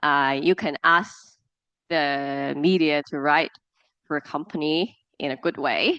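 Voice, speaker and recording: A woman in a Cantonese accent, with a very deep, low pitch, a bright, sharp tone, a very slow pace and long, frequent pauses. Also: dry, close sound with no echo, quiet background. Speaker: media professional guest speaker. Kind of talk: lecture. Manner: halting, with fillers and repetitions.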